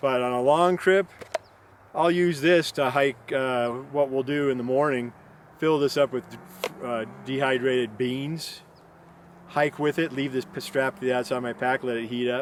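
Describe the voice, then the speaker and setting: At a moderate pace and medium pitch, a man speaks in a plain, everyday voice with fairly even intonation. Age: 60s. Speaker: backpacking vlogger. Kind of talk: casual tutorial monologue. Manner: rambling, many fillers.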